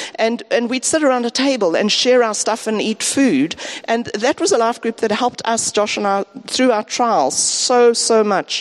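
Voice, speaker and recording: There is noticeable background noise as a woman speaks at a moderate pace. Her pitch is fairly high, with ordinary variation. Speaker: departing church member, teacher. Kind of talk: farewell talk in church. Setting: church service.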